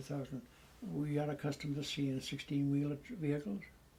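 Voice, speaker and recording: His tone is dark and mellow, somewhat breathy, and fairly high in pitch. The man keeps a moderate pace. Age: 80s+. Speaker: war veteran. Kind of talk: testimony.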